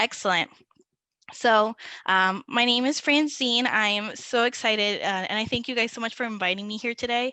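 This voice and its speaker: With a Spanish accent, a woman talks at a moderate pace in a fairly high, bright, sharp voice with fairly even intonation. The sound is dry and close with no echo against a quiet background. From Puerto Rico. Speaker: digital marketing manager. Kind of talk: webinar presentation.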